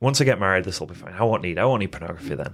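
This very clean recording, silent background, captures a man speaking. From England. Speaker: addiction recovery coach. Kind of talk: personal testimony in interview. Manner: halting, with fillers and restarts.

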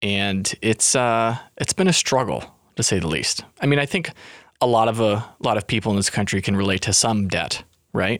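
An unremarkable speaking voice at a moderate pace, with ordinary pitch variation. The recording is very clean with a silent background, and the loudness stays very even. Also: man. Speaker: podcast co-host. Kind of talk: casual chat. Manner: joking, playful.

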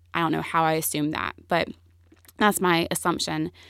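Speaking fairly quickly in a Southern US accent, a woman with a fairly low pitch shows ordinary pitch variation on a very clean recording with a silent background. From US South, Greenville, South Carolina. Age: 20s. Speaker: entrepreneur. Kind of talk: interview.

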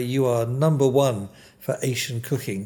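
Somewhat breathy and medium in pitch, a man's voice comes through on a very clean recording with a silent background. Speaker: interviewer. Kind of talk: interview. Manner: warm, chatty.

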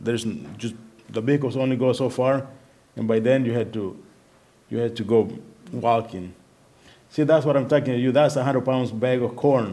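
Man with a Spanish accent at a medium pitch, moderate pace broken by long, frequent pauses. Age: 50s. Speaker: missionary at a children's home. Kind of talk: sermon. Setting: church.

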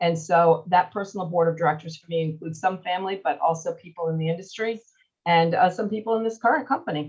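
Somewhat breathy and fairly low in pitch, a woman with an American accent speaks at a very fast pace with ordinary pitch variation. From US Northeast, Long Island, New York. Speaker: radio market manager. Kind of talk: interview. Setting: live online audio room.

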